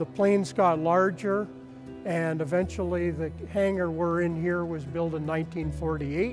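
Over clear music in the background, a man talks at a moderate pace with a high pitch. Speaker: volunteer museum tour guide. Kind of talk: interview answer. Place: hall. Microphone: lapel.

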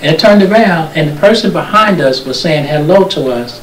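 A high-pitched man's voice with an American accent, over noticeable background noise and audible room echo. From Newark, New Jersey. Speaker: local TV show host. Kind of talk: casual interview.

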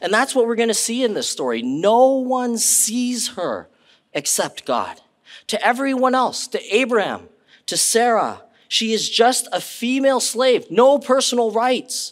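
Against a quiet background, a man speaks at a fairly slow pace with an extremely high pitch. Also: ordinary pitch variation. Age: 40s. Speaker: pastor. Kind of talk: sermon. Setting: church. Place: church.

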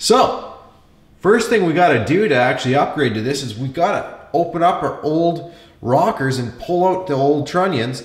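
Room echo can be heard clearly. The man speaks at a moderate pace. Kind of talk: tutorial. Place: home room.

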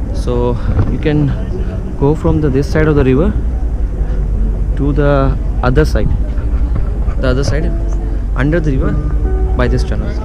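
A man is heard in a dry sound with no echo while clear music plays in the background. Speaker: travel vlogger. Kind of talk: casual vlog chat. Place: street. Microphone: phone near.

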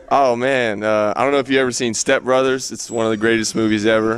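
With a medium pitch, a man talks at a very fast pace in a dry sound with no echo. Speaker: college basketball player. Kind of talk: sit-down interview. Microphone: handheld.

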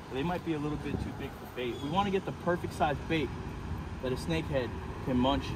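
A man talks at a very fast pace. Loud background noise is present, but the sound is dry with no echo. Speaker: iguana hunter vlogger. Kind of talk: casual vlog chat. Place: street. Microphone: phone near.

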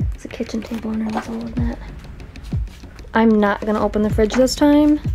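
Over music in the background, a woman speaks at a very fast pace with fairly even intonation. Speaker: urban explorer vlogger. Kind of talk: casual vlog commentary. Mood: disgusted, amused, nervous. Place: home room. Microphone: phone near.

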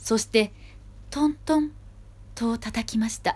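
Lively in intonation, a woman talks at a fairly high pitch in a somewhat breathy voice. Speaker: actor performing a storybook reading. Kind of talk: children's storybook reading. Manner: gentle storytelling narration.

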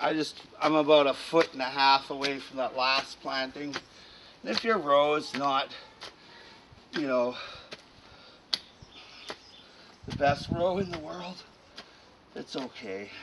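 The pace is fairly slow, broken by long, frequent pauses, with ordinary pitch variation. Noticeable background noise runs underneath. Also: man. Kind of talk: casual tutorial commentary. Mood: relaxed, chuckling. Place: garden. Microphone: camera far.

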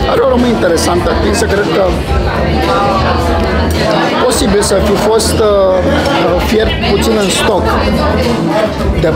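A man's fairly slow delivery, broken by long, frequent pauses, with music in the background. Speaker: food reviewer. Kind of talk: casual vlog food review. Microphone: phone near.

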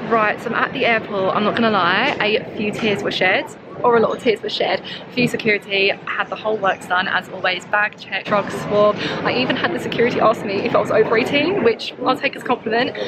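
A fairly quick pace with ordinary pitch variation, a dry sound with no echo and loud background noise. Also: woman. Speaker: travel vlogger. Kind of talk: casual vlog chat. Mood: nervous but excited. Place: station. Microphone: phone near.

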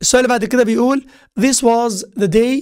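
Pitched high, a man's voice comes through with an Egyptian accent. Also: quiet background. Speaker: English teacher. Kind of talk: lecture.

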